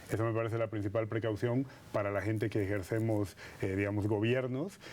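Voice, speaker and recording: With a slight Madrid accent, this voice moves at a fairly quick pace, its dark, mellow tone carried on fairly even intonation. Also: man. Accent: slight Spanish (Madrid) tinge. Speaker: politician and political scientist. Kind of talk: TV interview.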